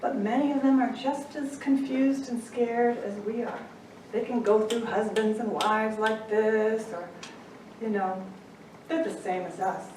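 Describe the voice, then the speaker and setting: With music in the background and audible room echo, a woman with an American accent speaks at a moderate pace in a fairly high voice with ordinary pitch variation. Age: 60s. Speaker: angel intuitive and life coach. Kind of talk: inspirational talk. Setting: stage with audience.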